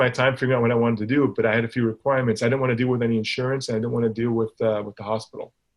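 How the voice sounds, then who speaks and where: A man's very fast delivery with fairly even intonation. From Hong Kong. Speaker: facial plastic surgeon. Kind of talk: podcast interview. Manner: repetitive, hesitant.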